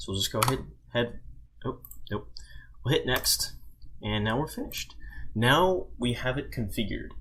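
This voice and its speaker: Moving at a moderate pace, a man speaks with long, frequent pauses. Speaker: tech tutorial maker. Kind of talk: screen-recorded software tutorial. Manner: mumbling, casual.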